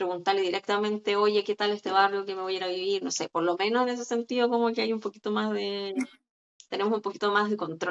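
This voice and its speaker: Her speech moves at a very fast pace. This woman has a medium pitch and fairly even intonation. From Chile. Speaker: psychologist. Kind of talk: interview.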